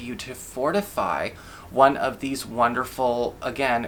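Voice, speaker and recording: Noticeable background noise surrounds a man who talks at a fairly high pitch. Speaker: tarot reader. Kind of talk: tarot reading monologue.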